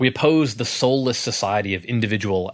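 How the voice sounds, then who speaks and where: A man talks in an unremarkable speaking voice, keeping a moderate pace and ordinary pitch variation. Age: 30s. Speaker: podcast co-host and author. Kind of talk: casual chat.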